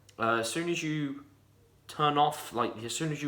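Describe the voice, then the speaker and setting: With a fairly high pitch, a man speaks in an animated tone at a fairly slow pace, his pitch varying in an ordinary way. Audible room echo surrounds him. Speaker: gaming youtuber. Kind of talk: casual game review. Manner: stuttering.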